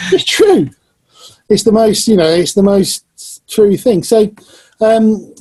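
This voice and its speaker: In an English Midlands accent, a man with a high pitch and a dark, mellow tone talks at a very slow pace, his loudness very even, with long, frequent pauses. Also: ordinary pitch variation. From Northamptonshire, England. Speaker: musician and channel host. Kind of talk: casual chat.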